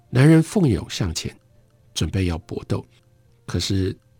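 With music in the background, a man speaks at a fairly slow pace in a calm tone, his fairly low pitch swinging very widely. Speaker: radio book host. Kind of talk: radio literary talk; literary audiobook reading, narrating a story excerpt. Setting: radio broadcast studio. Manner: measured, storytelling narration; formal, calm, fluent.

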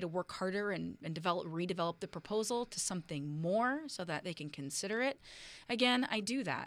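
In an American accent, the voice has a bright, sharp tone and lively intonation on a very clean recording with a silent background. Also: woman. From US West Coast, Oakland, California. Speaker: local politician. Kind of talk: interview. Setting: studio.

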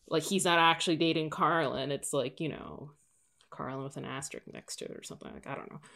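Talking at a very fast pace, a woman has a very deep, low pitch, a bright, sharp tone with vocal fry, fairly even intonation and big swings in loudness. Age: 30s. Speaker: podcast guest. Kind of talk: casual chat.

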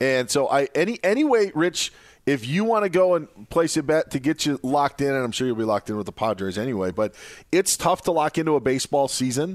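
Very fast American-accented speech with very wide pitch swings, dry and close with no echo. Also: man, fairly high pitch for a man. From Wisconsin. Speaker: fill-in sports radio host. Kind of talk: sports talk radio.

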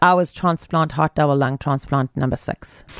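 This woman has a very deep, low pitch with vocal fry, fairly even intonation and a fairly quick pace, in a dry, close recording with no echo. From South Africa, Pietermaritzburg. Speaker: heart and lung transplant survivor. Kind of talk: interview.

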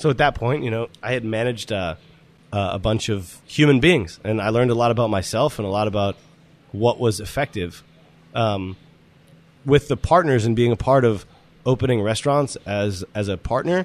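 A man talks at a moderate pace with a medium pitch and ordinary pitch variation. He has an ordinary speaking voice. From Boston area, Massachusetts. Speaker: chef and restaurant owner. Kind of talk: interview conversation.

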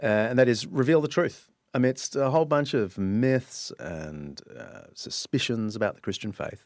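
A man with an Australian accent speaks at medium pitch and a moderate pace, with hardly any pauses. His intonation is lively, with big swings in loudness. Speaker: author and historian. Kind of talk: casual interview chat. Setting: studio.

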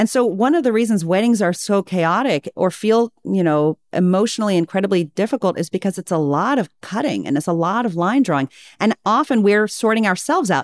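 A woman with an American accent uses an ordinary speaking voice at medium pitch, talking at a fairly quick pace with lively intonation and very even loudness. The sound is dry and close with no echo, on a very clean recording with a silent background. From US, Virginia (childhood abroad). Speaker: expert in group dialogue and conflict resolution. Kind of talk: interview conversation.

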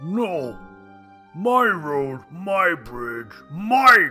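A bellowing, put-on character voice at a middle pitch swings very widely up and down. Faint music plays in the background. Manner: bellowing, angry, possessive.

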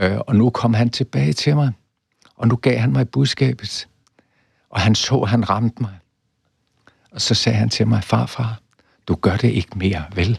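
With long, frequent pauses, a man speaks with vocal fry in a dry, close sound with no echo. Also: medium pitch for a man, ordinary pitch variation, fairly slow pace. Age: 80s+. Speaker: professor. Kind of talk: interview.

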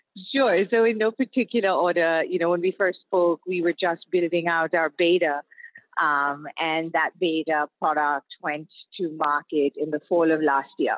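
At a moderate pace, a woman with a plain, everyday voice speaks at a fairly low pitch, with ordinary pitch variation and very even loudness. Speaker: startup founder. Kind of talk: interview. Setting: phone call from a car.

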